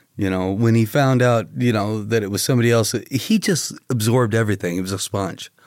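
A man's normal speaking voice, medium pitch, ordinary pitch variation, fairly quick pace with hardly any pauses, on a very clean recording with a silent background. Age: 50s. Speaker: comedian. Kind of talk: casual chat. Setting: studio.

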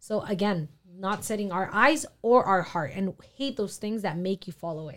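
Here is a woman with an unremarkable speaking voice at a medium pitch. She talks at a moderate pace with lively intonation. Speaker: youth podcast panelist. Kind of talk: casual faith discussion.

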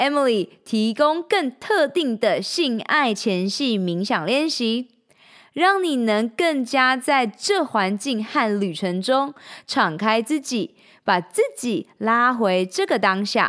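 In a very clean recording with a silent background, a woman with a high voice speaks at a very slow pace, her pitch swinging very widely. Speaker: podcast host and coach. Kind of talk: guided meditation, slow calm instructions. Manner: soft-spoken, slow and soothing with pauses; gentle, inviting, second-person prompting questions.

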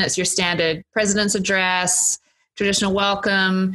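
With an Australian accent, a woman speaks fairly quickly at medium pitch in a bright, sharp tone, recorded with a dry, close sound and no echo. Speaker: college dean. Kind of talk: casual chat.

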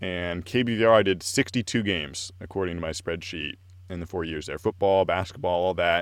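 Here a man speaks with an American accent at a very deep, low pitch. He moves at a fairly quick pace. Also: ordinary pitch variation. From Oregon, US. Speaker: sports play-by-play announcer. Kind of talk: casual interview.

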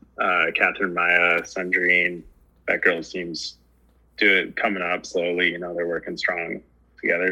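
Speaking with an American accent, a man uses a very deep, low voice with a bright, sharp tone, flat monotone intonation and long, frequent pauses. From US West, Truckee, California. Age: 30s. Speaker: ski racer. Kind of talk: casual chat.

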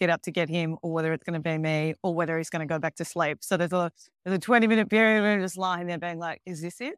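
The sound is dry and close with no echo as a woman speaks at a fairly low pitch. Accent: Australian. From Melbourne, Australia. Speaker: ESG and sustainable finance expert. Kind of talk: casual interview. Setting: video call from home in Mexico.

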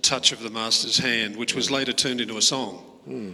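There is noticeable background noise behind this man's voice. His pitch is medium, with ordinary pitch variation. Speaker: congregation member. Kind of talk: casual chat.

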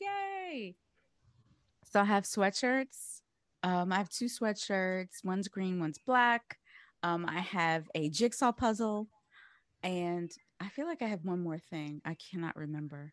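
A woman's medium-pitched, animated voice with lively intonation at a fairly slow pace, long and frequent pauses, and a dry, close sound with no echo. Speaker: podcast host. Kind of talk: casual chat.

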